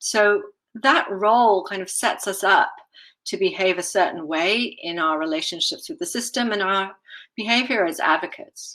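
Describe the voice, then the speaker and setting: A woman's bright, sharp voice at medium pitch, with a slight British accent, in a very clean recording over a silent background. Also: lively intonation, moderate pace. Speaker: patient safety advocate, communications strategist. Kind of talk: conference presentation.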